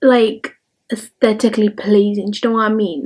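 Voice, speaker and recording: A woman speaks in a fairly high pitch. Music plays in the background. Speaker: lifestyle vlogger. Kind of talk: casual vlog tutorial. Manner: quiet; chatty, many fillers.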